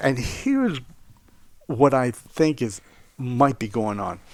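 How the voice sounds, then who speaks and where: In a very clean recording with a silent background, a man with an American accent talks at a very slow pace, his medium pitch making very wide swings. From South Florida. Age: 60s. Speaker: wilderness survival instructor. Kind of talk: casual chat.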